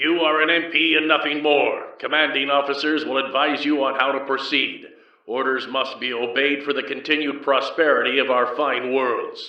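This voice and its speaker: A man puts on a gruff character voice at a fairly high pitch, with monotone, flat intonation. He keeps a moderate pace with hardly any pauses, and there is a slight echo. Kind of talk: old Earth drill sergeant. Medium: read story. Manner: authoritative, exaggerated drill-sergeant delivery.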